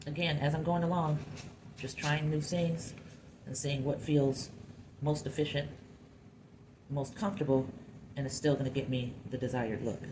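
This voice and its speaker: Very deep and low in pitch, a woman's somewhat breathy voice has a dark, mellow tone and fairly even intonation, moving at a moderate pace with long, frequent pauses amid audible room echo. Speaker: clay sculptor. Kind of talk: tutorial. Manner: casual thinking aloud.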